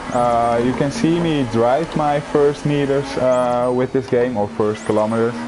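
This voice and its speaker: This man talks at a fairly slow pace with hardly any pauses, in a Dutch accent. His pitch is medium with ordinary variation, his loudness very even, and background noise is noticeable. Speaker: gaming youtuber. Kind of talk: gameplay commentary. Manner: hesitant, many fillers.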